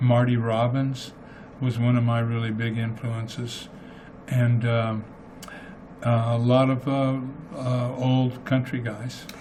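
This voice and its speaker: At a very slow pace and with long, frequent pauses, a man with an American accent speaks in a monotone at medium pitch, amid audible room echo and noticeable background noise. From US Southwest (Clayton, New Mexico). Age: 70s. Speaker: singer-songwriter. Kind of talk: radio interview. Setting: studio.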